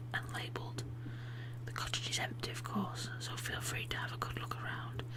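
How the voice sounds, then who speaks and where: Amid noticeable background noise, a soft-spoken voice whispers in a gentle tone. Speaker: ASMR channel host and reader. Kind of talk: whispered book reading for ASMR. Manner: whispered, soft, gentle.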